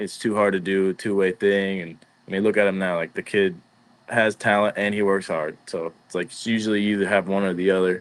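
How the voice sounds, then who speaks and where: A man with an American accent, fairly low pitch, monotone and flat intonation, and a fairly quick pace. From Scotland, Fife (Glenrothes), after early years in Venezuela. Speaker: professional baseball player. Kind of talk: casual interview chat.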